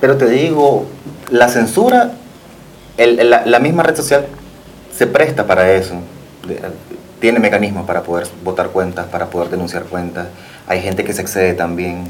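A man with long, frequent pauses, audible room echo and noticeable background noise. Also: fairly low pitch for a man, moderate pace. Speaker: fashion designer. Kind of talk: TV interview.

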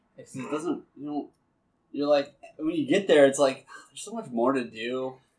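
The speaker has a normal speaking voice at a moderate pace. Pitch varies in an ordinary way while loudness swings widely. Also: man, fairly high pitch for a man. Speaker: podcast host. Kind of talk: casual chat.

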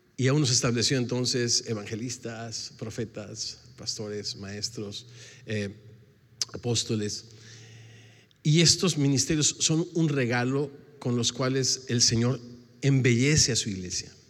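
Long, frequent pauses break up this man's fairly slow speech. His pitch is medium, with ordinary variation. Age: 60s. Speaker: pastor. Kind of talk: sermon.

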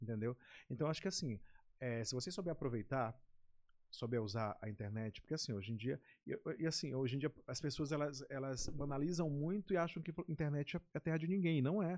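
This man has an unremarkable speaking voice, fairly high in pitch, with lively intonation and a fairly quick pace. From Maranhão, Brazil (Baixada Maranhense). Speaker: TV presenter. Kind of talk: casual chat.

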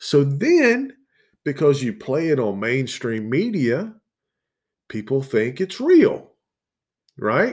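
On a very clean recording with a silent background, a man with a Southern US accent and fairly high pitch speaks very slowly, with very wide pitch swings and long, frequent pauses. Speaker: podcast host. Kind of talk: casual solo monologue, profane. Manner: casual, relaxed, expressive.

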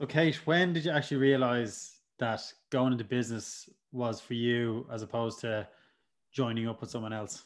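A man speaks at a moderate pace in a medium pitch with ordinary pitch variation. He has a plain, everyday voice. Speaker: podcast host. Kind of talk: casual interview.

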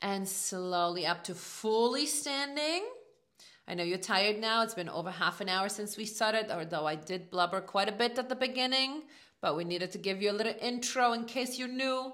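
Upbeat and lively in intonation, a woman speaks at a moderate pace in a fairly high pitch with a bright, sharp tone. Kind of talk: guided workout class, spoken instructions. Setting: gym or home, no music, voice only. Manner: clear, encouraging, coaching cues; upbeat, motivating, friendly.

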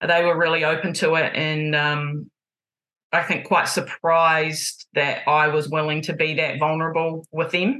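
A woman with a New Zealand accent speaks at a moderate pace with a very deep, low pitch and a bright, sharp tone. Her intonation is monotone and flat, and her loudness stays very even. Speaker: basketball coach and sports therapist. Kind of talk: casual interview. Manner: loud, emotive; direct.

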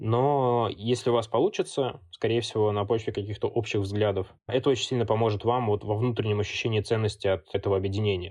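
With a plain, everyday voice, a man talks at a fairly quick pace and a fairly low pitch, his intonation fairly even, his loudness very even and his pauses scarce, against a quiet background. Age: 20s. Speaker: student community founder and author. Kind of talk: interview.

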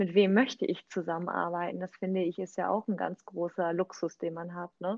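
The woman's medium-pitched voice holds a flat, monotone intonation. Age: 30s. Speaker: real estate agent and network marketer. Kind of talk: casual chat.

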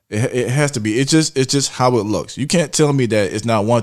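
With ordinary pitch variation, a man keeps a moderate pace. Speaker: podcast host. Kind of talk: casual chat.

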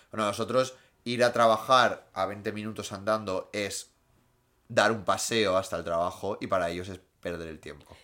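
A man with a plain, everyday voice speaks at a moderate pace, fairly low in pitch with fairly even intonation but big swings in loudness. The recording is very clean, with a silent background. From Asturias, Spain (Gijón). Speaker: podcast co-host. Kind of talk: casual chat.

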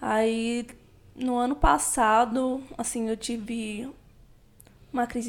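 This woman's fairly high voice moves very slowly, with fairly even intonation. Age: 20s. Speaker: classical singer, podcast guest. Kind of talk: casual interview about mental health.

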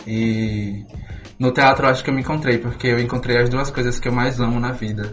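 Music plays in the background and the room echoes audibly as a man talks fairly quickly at medium pitch. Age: 20s. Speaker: theatre student, show producer. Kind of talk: radio interview.

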